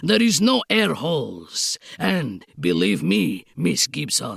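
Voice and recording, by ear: A woman puts on a character voice with a strong Eastern European accent, her low pitch swinging very widely, with a slightly husky edge, vocal fry and a slow pace. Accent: thick mock Eastern European.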